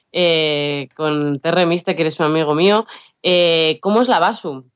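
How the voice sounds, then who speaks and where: An ordinary speaking voice from a woman, pitched fairly low and varying in an ordinary way. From Basque Country, Biscay. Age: 30s. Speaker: rapper. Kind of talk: interview.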